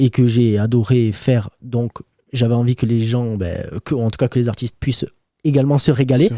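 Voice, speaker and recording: The voice has a dark, mellow tone and fairly even intonation, with a dry, close sound and no echo. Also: man, medium pitch for a man, moderate pace, very clean recording, silent background. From Toulouse, France. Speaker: rapper. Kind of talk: radio interview answer.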